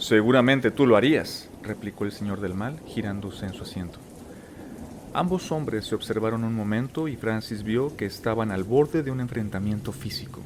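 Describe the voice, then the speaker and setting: This man speaks in a calm tone at a moderate pace. His pitch is medium, with ordinary variation. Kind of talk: audiobook narration. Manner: calm, relaxing.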